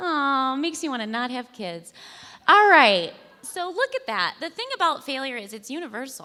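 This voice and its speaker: With an animated tone, a woman speaks at a moderate pace in a high, raised, projected voice that is bright and sharp, with very wide pitch swings and big swings in loudness. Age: 30s. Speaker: storyteller at live failure-stories event. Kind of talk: stand-up style storytelling talk. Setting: stage with audience.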